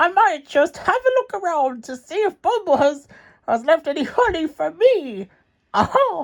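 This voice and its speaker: A man's put-on character voice at an extremely high pitch, with very wide pitch swings. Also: moderate pace. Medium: read story. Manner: grumpy, scheming.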